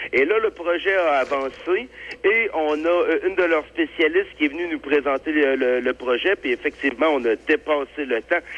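The pace is moderate and the pitch varies in an ordinary way. He is a man with a fairly high pitch. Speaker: farmers' union representative. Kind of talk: interview. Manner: halting.

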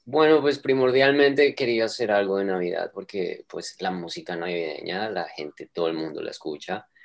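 A man at a medium pitch talks at a moderate pace with hardly any pauses, his pitch swinging very widely. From Colombia, Bogotá. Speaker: vocal coach and singer-songwriter. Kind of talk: interview. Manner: halting, many repetitions and fillers.

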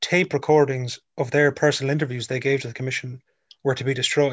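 A man with an Irish accent and a fairly high-pitched voice. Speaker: radio co-host. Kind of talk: news discussion; interview. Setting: remote call.

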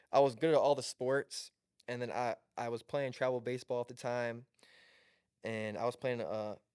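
A man with an American accent has a normal speaking voice at a medium pitch. His pace is moderate and his intonation fairly even. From Southwest Michigan. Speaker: college basketball player. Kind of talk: casual chat.

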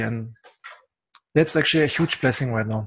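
A man speaks with a German accent, sounding somewhat breathy. His pitch varies in an ordinary way against a quiet background. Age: 40s. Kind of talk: casual interview. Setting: apartment. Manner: halting.

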